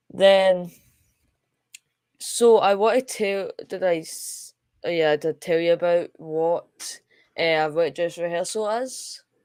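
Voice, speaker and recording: A woman with a Scottish accent speaks at a very slow pace, her fairly low voice rising and falling in the usual way, with long, frequent pauses and big swings in loudness. The recording is very clean, with a silent background. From Scotland. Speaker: space live stream host. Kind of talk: live stream commentary. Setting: live stream. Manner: halting, many fillers.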